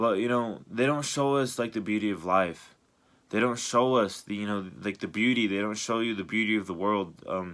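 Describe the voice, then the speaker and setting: The man's voice sits fairly low, with ordinary pitch variation. It comes through a very clean recording with a silent background. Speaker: YouTuber vlogger. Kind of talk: personal late-night monologue. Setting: late at night. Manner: fast; hesitant, many fillers.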